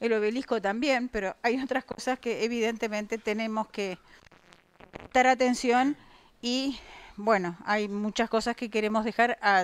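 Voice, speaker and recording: This is a plain, everyday voice. A woman speaks at a moderate pace with a fairly high pitch and ordinary pitch variation. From Uruguay. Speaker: debate moderator. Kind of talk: moderating a public debate. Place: meeting room. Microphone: handheld.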